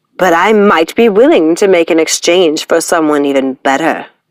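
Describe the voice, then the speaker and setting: A woman puts on a character voice at a fairly low pitch and moderate pace. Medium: read story. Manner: gloating, theatrical.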